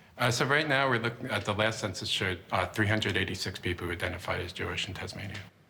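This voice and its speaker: Speaking very fast with an American accent and hardly any pauses, the voice shows ordinary pitch variation against noticeable background noise. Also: man, fairly low pitch for a man. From US, Baltimore. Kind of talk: guided tour interview.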